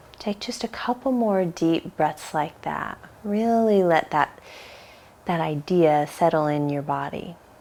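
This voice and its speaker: Soft-spoken and fairly low-pitched, a woman talks at a fairly slow pace with lively intonation. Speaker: yoga teacher. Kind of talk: guided meditation.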